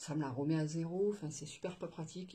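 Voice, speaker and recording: Amid noticeable background noise, a woman with a fairly low pitch talks at a moderate pace with ordinary pitch variation. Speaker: budgeting vlogger. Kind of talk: casual vlog chat. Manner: hesitant, many fillers.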